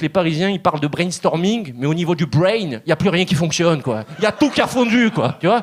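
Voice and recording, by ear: The speaker moves at a fairly quick pace with hardly any pauses while noticeable background noise runs underneath. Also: man, high pitch for a man, lively intonation.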